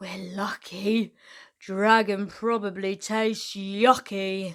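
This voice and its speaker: A woman uses a put-on character voice at medium pitch. She speaks at a very slow pace with monotone, flat intonation. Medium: read story. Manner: loud, hollering.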